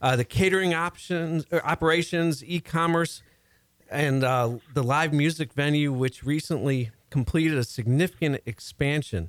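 In an American accent, the speaker goes at a moderate pace with ordinary pitch variation, in a dry, close sound with no echo. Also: man, fairly high pitch for a man, very even loudness. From US Midwest, Chicago area. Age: 50s. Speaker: radio host, career expert. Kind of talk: radio talk show interview. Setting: radio studio. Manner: animated.

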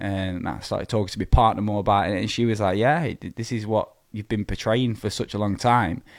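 Using a fairly low pitch and fairly even intonation, a man with a Lancashire accent talks at a fairly quick pace with hardly any pauses. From northern England, Preston, Lancashire. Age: 20s. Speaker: amateur bodybuilder. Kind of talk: casual interview. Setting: studio.

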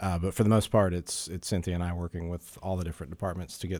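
A man's voice sits very deep and low, in a monotone with flat intonation. The recording is very clean, with a silent background. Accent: American. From Florida (Jacksonville). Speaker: city public affairs director. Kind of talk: interview.

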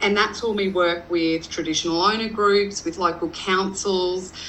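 A woman's medium-pitched voice in an Australian accent, monotone and flat, with noticeable background noise. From Western Queensland, Australia. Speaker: rural entrepreneur and business consultant. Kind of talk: interview.

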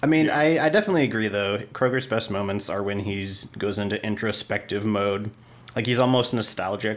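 In a normal speaking voice, a man talks fairly quickly at a fairly low pitch with ordinary pitch variation. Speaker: guest book discussant. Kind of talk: casual chat.

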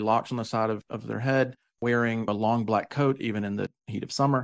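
With a Southern US accent, a man talks at a fairly quick pace, medium in pitch and fairly even in intonation, against a quiet background. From US South. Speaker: podcast co-host and tour operator. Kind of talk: casual conversational podcast.

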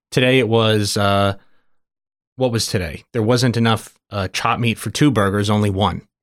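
A man speaks in a normal speaking voice with a fairly low pitch and fairly even intonation. The recording is very clean, with a silent background. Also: moderate pace. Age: 20s. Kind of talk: casual chat.

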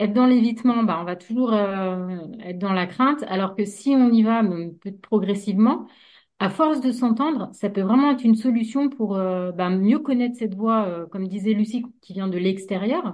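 At a moderate pace, a woman speaks with a fairly high pitch, a somewhat breathy quality, and ordinary pitch variation. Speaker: hypnotherapist. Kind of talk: casual discussion. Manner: frequent filler hesitations.

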